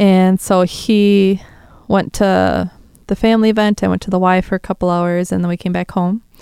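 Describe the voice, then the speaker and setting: A woman with a Wisconsin accent has a dark, mellow tone at medium pitch, speaking at a moderate pace in a monotone, flat intonation on a very clean recording with a silent background. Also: dry, close sound with no echo. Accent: Upper Midwest (Wisconsin). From Wisconsin, south of Green Bay. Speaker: survivor of a shooting sharing her story. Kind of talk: testimony. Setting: studio.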